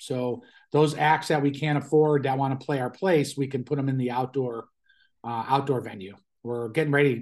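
A man with an American accent uses a normal speaking voice at a medium pitch and a moderate pace, keeping his intonation fairly even. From Buffalo, New York. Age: 60s. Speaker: chef and rock guitarist. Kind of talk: casual interview. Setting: video call.

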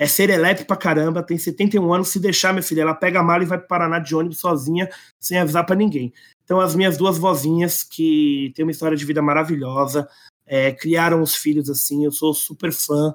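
A man with a São Paulo accent, fairly high pitch, fairly even intonation and a fairly quick pace. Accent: Paulistano Brazilian Portuguese. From Brazil, São Paulo city. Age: 30s. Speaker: employer branding specialist. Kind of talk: podcast interview.

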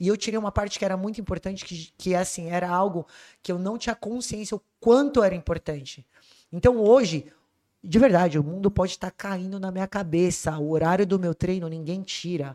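A woman's medium-pitched, dark and mellow voice at a fairly quick pace, with ordinary pitch variation, recorded dry and close with no echo, very clean and against a silent background. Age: 40s. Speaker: CrossFit athlete and marketing manager. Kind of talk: casual chat.

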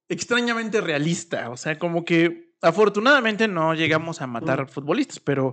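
Against a quiet background, a man with a Mexican accent talks at a fairly quick pace, high in pitch, with lively intonation. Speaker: podcast host. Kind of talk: casual chat.

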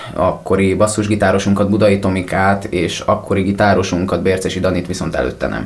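A man with a fairly low pitch speaks at a moderate pace with fairly even intonation, heard with audible room echo and noticeable background noise. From Sopron, western Hungary. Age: 20s. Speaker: rock singer. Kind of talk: interview.

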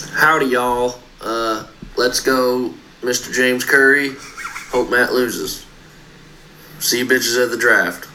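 A man's put-on character voice in a Texan accent, drawling at a fairly slow pace and medium pitch, monotone and flat, with long, frequent pauses. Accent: country Texan. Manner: pretend country drawl.

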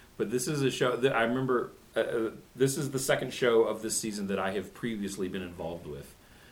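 A man speaks at a fairly quick pace and medium pitch. Audible room echo surrounds his voice. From Arkansas. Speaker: community theater podcast host. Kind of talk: casual chat; scripted narration.

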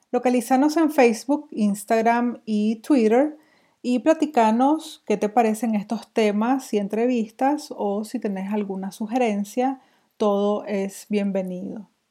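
At a fairly slow pace, a woman with a dark, mellow tone and fairly high pitch uses ordinary pitch variation on a very clean recording with a silent background. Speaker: podcast host. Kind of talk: scripted narration; casual interview.

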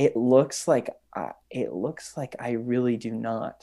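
This man has an unremarkable speaking voice, pitched at a medium level, with an American accent. He talks at a fairly slow pace. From US Midwest, Twin Cities, Minnesota. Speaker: actor. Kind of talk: interview.

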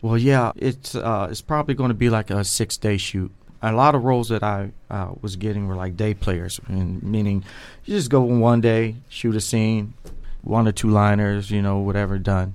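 In a very clean recording with a silent background, a man with a plain, everyday voice talks at a moderate pace, his fairly low pitch held to fairly even intonation. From Dayton, Ohio. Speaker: actor. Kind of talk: interview. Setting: studio.

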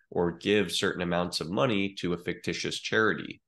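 A man speaks with an American accent and fairly even intonation. The background is quiet. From Oregon, US Pacific Northwest. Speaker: neurofeedback practitioner. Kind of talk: podcast interview.

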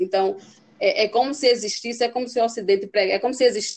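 A woman's fairly high-pitched voice. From Northeast Brazil, Pernambuco. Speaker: teacher. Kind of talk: interview.

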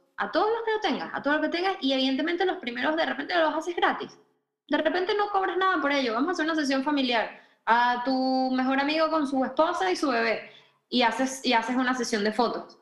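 A woman's high, animated voice at a very fast pace, with lively intonation and audible room echo. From Venezuela, Caracas. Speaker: wedding photographer. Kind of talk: interview.

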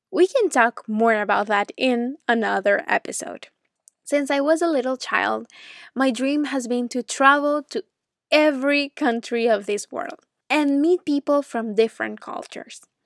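A woman with a Venezuelan accent speaks at a high pitch and moderate pace with ordinary pitch variation, in a dry, close sound with no echo and a very clean recording, silent background. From Venezuela (Caracas). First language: Spanish. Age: 20s. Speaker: English teacher. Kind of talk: educational podcast monologue for learners. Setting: at home. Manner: clear, learner-friendly with simple explanations.

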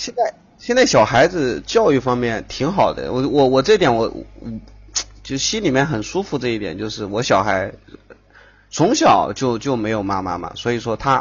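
Pitch rises and falls over a very wide range. Delivery moves at a moderate speed. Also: man, medium pitch for a man. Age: 30s. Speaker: caller seeking relationship advice. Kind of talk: advice call-in chat.

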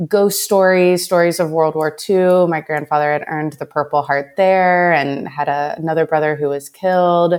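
A woman with an American accent talks at a moderate pace in an ordinary speaking voice. Her pitch is fairly low and her intonation fairly even. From Southeast Texas, US. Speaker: content strategy director. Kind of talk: casual interview.

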